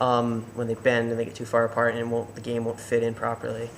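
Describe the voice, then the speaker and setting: Mumbling at a fairly quick pace, a man with a medium pitch talks over noticeable background noise. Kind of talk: tutorial talk to camera. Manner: hesitant, mumbling with pauses.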